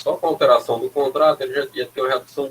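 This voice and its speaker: A man is speaking. His pace is very fast. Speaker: university lecturer. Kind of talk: lecture.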